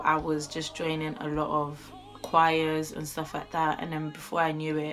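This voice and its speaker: A woman with a very deep, low pitch talks amid audible room echo. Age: 20s. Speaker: YouTuber and singer. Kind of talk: casual vlog chat. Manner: chatty, informal.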